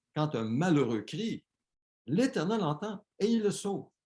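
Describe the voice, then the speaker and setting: A man with a Quebec accent speaks very slowly in a dark, mellow tone. His pitch swings very widely. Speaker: pastor. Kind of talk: sermon.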